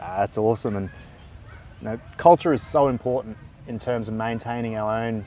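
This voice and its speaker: Speaking at a fairly quick pace, a man with an Australian accent has a medium pitch and a dark, mellow tone. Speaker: psychologist and interviewer. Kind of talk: interview on mental health.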